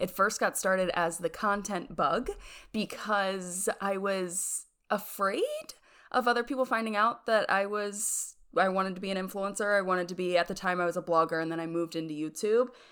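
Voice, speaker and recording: A woman at medium pitch with ordinary pitch variation. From US Pennsylvania. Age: 20s. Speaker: YouTuber. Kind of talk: casual interview chat. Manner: fast talker.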